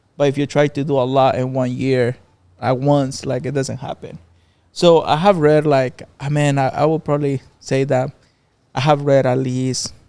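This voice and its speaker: A man with a Mexican accent speaks in a monotone, flat intonation, with a fairly high pitch and a dark, mellow tone. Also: moderate pace. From Mexico. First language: Spanish. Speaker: barbershop owner. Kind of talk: podcast interview.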